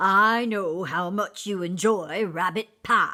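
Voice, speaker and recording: A woman's put-on character voice at medium pitch, very slow in pace, with fairly even intonation. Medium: read story. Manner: courtly, elaborate wording.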